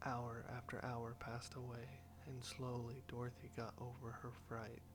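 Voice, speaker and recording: Soft-spoken and fairly slow, a man speaks at a medium pitch with music in the background. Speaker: audiobook narrator. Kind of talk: sleep story.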